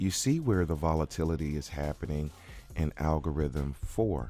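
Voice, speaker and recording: A man's very deep, low voice with a dark, mellow tone at a fairly slow pace. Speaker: baccarat strategy instructor. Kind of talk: tutorial.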